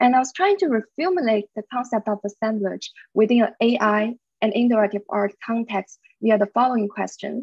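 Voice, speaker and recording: Fairly high-pitched woman at a moderate pace, ordinary pitch variation, dry sound with no echo, quiet background. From China. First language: Chinese. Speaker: media artist and researcher; presenter. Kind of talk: presentation. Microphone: video call.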